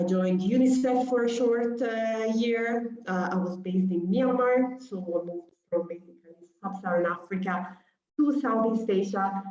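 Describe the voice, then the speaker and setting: In an Italian accent, a woman speaks at a medium pitch, with audible room echo around her voice. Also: ordinary pitch variation, moderate pace. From Italy. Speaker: humanitarian doctor. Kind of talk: lecture. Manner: hesitant, many fillers.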